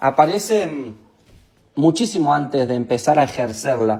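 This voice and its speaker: A man with an Argentine accent speaks in a dark, mellow tone with lively intonation. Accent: Rioplatense Argentine Spanish. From Argentina, Santa Fe (Capitán Bermúdez). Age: 20s. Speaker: motivational speaker. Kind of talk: online training talk. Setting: live stream. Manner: informal, hesitant with fillers.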